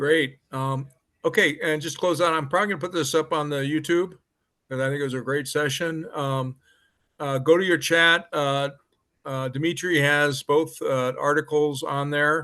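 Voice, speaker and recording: Against a quiet background, a man with an American accent talks at a moderate pace in a fairly high pitch with fairly even intonation. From Colorado. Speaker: meeting host. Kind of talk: casual meeting moderation.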